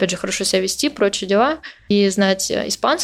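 This woman has an ordinary speaking voice. Her pitch sits in the medium range. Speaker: podcaster who emigrated to Spain. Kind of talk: interview. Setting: remote call.

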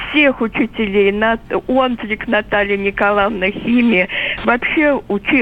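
Medium pitch from a woman at a fairly slow pace, ordinary pitch variation, and noticeable background noise. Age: 80s+. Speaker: retired caller. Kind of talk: casual chat. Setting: phone call.

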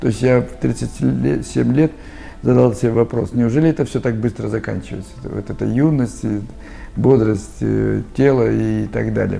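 This man talks fairly slowly, with long pauses coming often. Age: 60s. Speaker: customer testimonial. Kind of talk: testimony. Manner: hesitant fillers.

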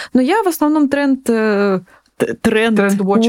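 In a very clean recording with a silent background, a woman with a plain, everyday voice speaks at a moderate pace with lively intonation. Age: 20s. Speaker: food startup co-founder. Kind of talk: casual chat.

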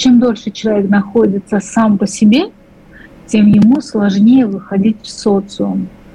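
Over noticeable background noise, a woman speaks at a fairly slow pace and medium pitch, with fairly even intonation and very even loudness. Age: 40s. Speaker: clinical psychologist. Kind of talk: radio call-in advice. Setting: remote live link.

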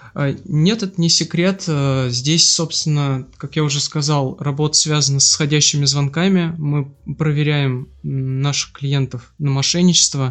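Here is a plain, everyday voice, belonging to a man with fairly high pitch. He speaks at a fairly slow pace with fairly even intonation. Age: 30s. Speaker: bank department head. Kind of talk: casual interview. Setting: guest's kitchen.

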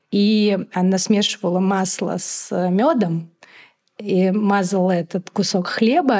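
A woman's voice with ordinary pitch variation. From Moscow, Russia. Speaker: magazine editor and travel blogger. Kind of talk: casual interview conversation.

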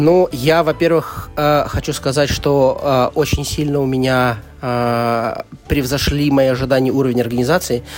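At a fairly slow pace, a man with a fairly high pitch speaks with very even loudness and fairly even intonation. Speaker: board game publisher marketing director. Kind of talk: casual interview. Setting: board game festival venue. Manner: talkative.

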